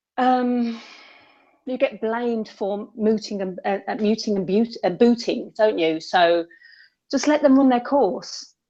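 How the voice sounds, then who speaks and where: A woman with a West Midlands accent speaks at a fairly slow pace and fairly high pitch, with ordinary pitch variation against a quiet background. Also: long, frequent pauses. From West Midlands, England. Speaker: caller in debate livestream. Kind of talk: casual chat.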